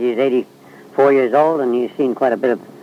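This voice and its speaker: Noticeable background noise sits behind the recording. A man speaks over it at a fairly quick pace. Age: 70s. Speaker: oral history interviewer. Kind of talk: recorded narration. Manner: halting, many fillers.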